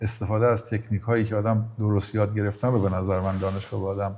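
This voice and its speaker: The man's voice is somewhat breathy and fairly low in pitch. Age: 50s. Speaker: electrical and building services engineering manager. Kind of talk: interview answer. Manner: chatty, easygoing.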